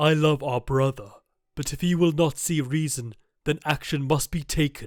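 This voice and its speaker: A man uses a put-on character voice, fairly high in pitch, at a moderate pace in a very clean recording with a silent background. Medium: read story. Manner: measured, solemn.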